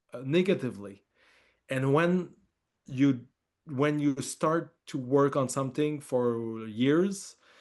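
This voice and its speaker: Very slowly and with long, frequent pauses, a man with a strong French accent speaks in a fairly high voice with ordinary pitch variation. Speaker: film director. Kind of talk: interview. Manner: halting, many fillers and repeats.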